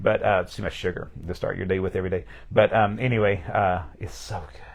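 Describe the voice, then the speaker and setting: A man with an American accent at a fairly quick pace, with big swings in loudness. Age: 50s. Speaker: pastor. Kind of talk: casual interview. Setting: livestream. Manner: fast.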